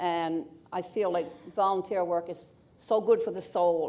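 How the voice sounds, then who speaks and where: A woman with a Newfoundland accent, medium pitch, ordinary pitch variation and a fairly slow pace. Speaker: award recipient. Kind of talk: acceptance speech.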